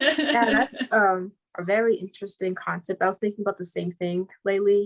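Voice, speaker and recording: A normal speaking voice with ordinary pitch variation, recorded dry and close with no echo. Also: woman. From New Jersey. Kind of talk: casual chat.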